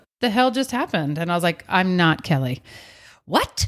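A woman with an unremarkable speaking voice, lively intonation and a fairly quick pace, in a very clean recording with a silent background. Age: 40s. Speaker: podcast co-host. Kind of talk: casual chat.

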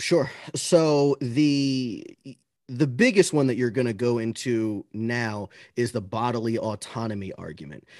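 Against a quiet background, a man with a plain, everyday voice speaks at a medium pitch and a fairly slow pace with ordinary pitch variation. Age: 30s. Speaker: anti-abortion debater. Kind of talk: casual interview.

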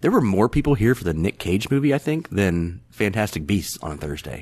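A man with an ordinary speaking voice talks at a fairly quick pace with lively intonation. His pitch is fairly low, and the background is quiet. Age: 40s. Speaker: movie fan guest. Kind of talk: casual chat.

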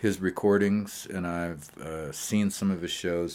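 Very slow speech with fairly even intonation, in an American accent. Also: man. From Montana. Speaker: singer-songwriter. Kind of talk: interview conversation.

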